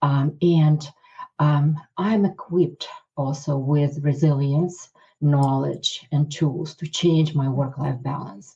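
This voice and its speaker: A woman speaks at a very slow pace in a very deep, low pitch with a dark, mellow tone. Her voice is somewhat breathy and her intonation fairly even. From Ukraine. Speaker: cardiologist. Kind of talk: interview. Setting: podcast. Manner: hesitant, many fillers.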